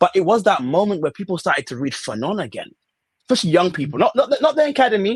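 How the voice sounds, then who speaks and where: In a British accent, a man talks very fast in an animated tone at a high pitch, with very wide pitch swings and a dry, close sound with no echo. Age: 30s. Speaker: student activist. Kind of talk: podcast interview.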